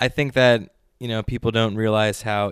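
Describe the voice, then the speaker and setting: A man with an American accent and a plain, everyday voice talks at a fairly quick pace with a fairly low pitch and fairly even intonation. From New York City (Brooklyn), later outside Philadelphia. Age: 30s. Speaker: sommelier and world traveler. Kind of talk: interview.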